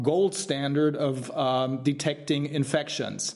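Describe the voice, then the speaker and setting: The speaker talks very slowly with a German accent. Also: man. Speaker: trial lawyer, committee founder. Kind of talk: interview. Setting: livestream video call. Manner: halting.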